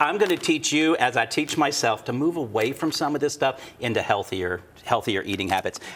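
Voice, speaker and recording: A man in a Kentucky accent talks at a fairly quick pace with hardly any pauses. His fairly high voice moves with lively intonation. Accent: Kentucky Southern US. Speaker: TV show host, interior designer. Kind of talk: casual cooking segment chat. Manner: chatty, animated.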